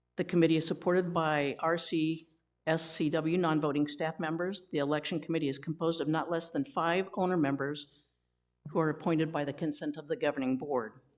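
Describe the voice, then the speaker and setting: On a very clean recording with a silent background, a woman speaks at a fairly quick pace. Her very deep, low voice holds a fairly even intonation. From Lithuania. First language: Lithuanian. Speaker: committee chair. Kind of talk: committee meeting. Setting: meeting room with microphones.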